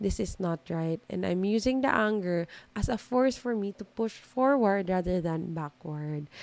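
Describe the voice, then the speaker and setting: Speaking at a fairly slow pace, a woman with a Filipino accent has a fairly low voice. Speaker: podcast host. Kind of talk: solo self-help monologue. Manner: Taglish code-switching.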